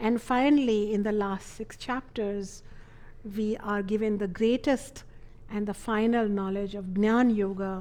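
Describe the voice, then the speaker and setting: A woman talks fairly slowly in a fairly high voice with a dark, mellow tone. Her intonation stays fairly even. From India (Ayodhya). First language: not English. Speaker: spiritual teacher. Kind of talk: lecture.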